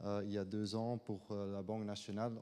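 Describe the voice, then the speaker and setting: A man with a non-native accent speaks at a moderate pace. His tone is dark and mellow. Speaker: government finance adviser. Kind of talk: conference talk. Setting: conference room with audience. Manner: halting, many hesitations.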